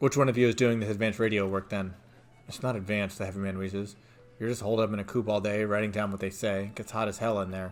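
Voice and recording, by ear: With intonation that stays fairly even, the passage is read aloud in a natural voice.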